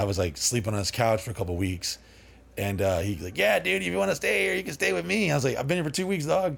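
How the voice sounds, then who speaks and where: Here a man talks at a very fast pace in an animated tone. His intonation is lively. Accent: American. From Dallas, Texas area. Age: 40s. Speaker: party house owner. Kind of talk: casual interview chat. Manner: rambling, animated.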